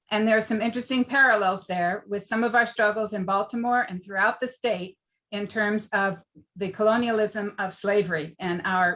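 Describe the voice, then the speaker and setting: A plain, everyday voice from a woman with an American accent, medium pitch, fairly even intonation and a moderate pace. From Maryland, US (Bethesda). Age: 60s. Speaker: political candidate. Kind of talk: opening statement at a candidate forum. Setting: public debate forum.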